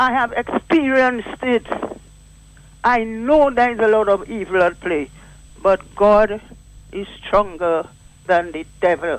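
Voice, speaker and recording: Fairly slow speech with long, frequent pauses over noticeable background noise. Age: 80s+. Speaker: caller. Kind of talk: call-in radio talk.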